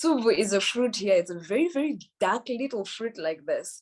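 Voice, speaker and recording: The voice, with a Zimbabwean accent, moves through very wide pitch swings. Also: woman. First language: Shona. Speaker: musician and poet. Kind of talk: interview talk about her song. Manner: hesitant with fillers.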